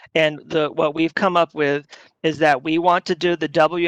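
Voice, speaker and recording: A man with a normal speaking voice, fairly high in pitch, with fairly even intonation at a moderate pace, in a dry, close sound with no echo over a quiet background. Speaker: utility risk management staff. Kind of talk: workshop Q&A.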